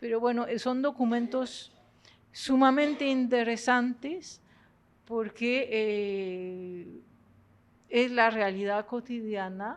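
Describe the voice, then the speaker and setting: With a French accent, a woman speaks at a very slow pace and fairly high pitch, leaving long, frequent pauses. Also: ordinary pitch variation. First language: French (speaking Spanish). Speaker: professor. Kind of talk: lecture. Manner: halting.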